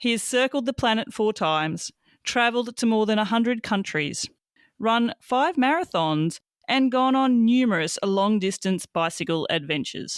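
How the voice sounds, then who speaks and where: In an Australian accent, a woman speaks at a moderate pace with very wide pitch swings and very even loudness, the sound dry and close with no echo on a very clean recording with a silent background. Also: fairly high pitch for a woman. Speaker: podcast host. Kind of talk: scripted introduction.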